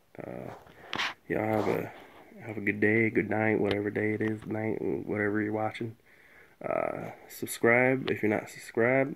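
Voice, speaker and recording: A soft-spoken man with a fairly low pitch, a moderate pace, fairly even intonation and light background noise. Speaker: car audio hobbyist YouTuber. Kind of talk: casual tutorial. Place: garage. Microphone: phone near.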